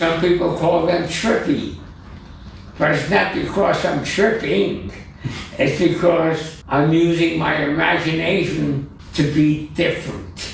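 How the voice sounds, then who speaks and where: A man's high-pitched voice at a very slow pace, with ordinary pitch variation, very even loudness, audible room echo and noticeable background noise. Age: 80s+. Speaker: digital artist. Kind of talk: interview.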